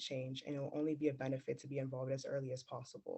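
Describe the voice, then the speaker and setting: A man's somewhat breathy, fairly high voice at a very fast pace, with monotone, flat intonation. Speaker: youth climate ambassador. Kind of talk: prepared speech.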